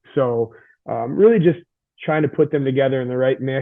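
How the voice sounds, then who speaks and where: Fairly quick speech from a man at medium pitch with ordinary pitch variation. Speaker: high school strength coach. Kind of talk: podcast interview. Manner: fast; intense.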